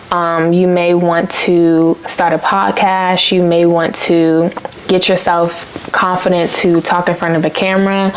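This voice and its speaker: Soft-spoken and fairly low in pitch, a woman talks at a fairly slow pace with flat, monotone intonation amid noticeable background noise. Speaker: lifestyle vlogger. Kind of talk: motivational vlog talk. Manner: casual, filler-heavy.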